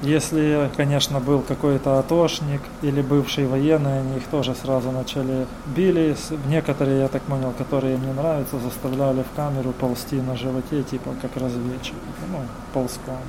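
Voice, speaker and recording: Against noticeable background noise, a man talks at a moderate pace in a medium pitch with monotone, flat intonation. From Kherson, southern Ukraine. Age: 40s. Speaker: local councillor and volunteer, former captive. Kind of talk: testimony interview.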